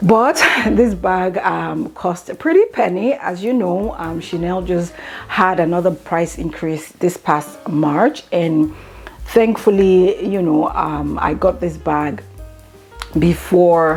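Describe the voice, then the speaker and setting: A woman's very slow speech comes with noticeable background noise behind it. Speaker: beauty and luxury vlogger. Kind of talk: unboxing haul video. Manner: halting, stuttering.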